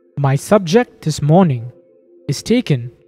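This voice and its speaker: The speech runs at a fairly slow pace while music plays faintly in the background. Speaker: lecturer. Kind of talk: lecture. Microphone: old recording.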